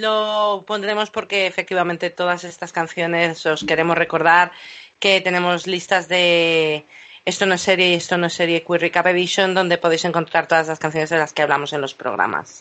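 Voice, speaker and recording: A woman speaks in a normal speaking voice, fairly low-pitched, at a moderate pace with fairly even intonation. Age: 40s. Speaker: podcast host. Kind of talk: casual chat.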